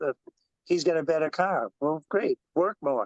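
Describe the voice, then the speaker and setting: At a moderate pace, a man with a fairly high voice speaks in a dry, close sound with no echo. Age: 60s. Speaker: motorcycle and stock car racer. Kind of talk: casual chat. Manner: animated.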